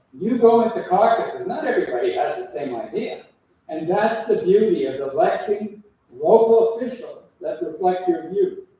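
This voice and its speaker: In a room with audible echo, a man speaks at a moderate pace in an extremely high pitch, his pitch swinging very widely. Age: 70s. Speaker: political candidate. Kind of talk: election debate.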